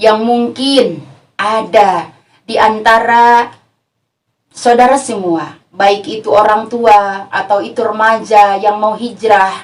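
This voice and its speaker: A West Javanese accent at a very slow pace with fairly even intonation. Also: woman, fairly high pitch for a woman. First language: Sundanese (speaking Indonesian). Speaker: female Islamic preacher. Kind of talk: religious lecture.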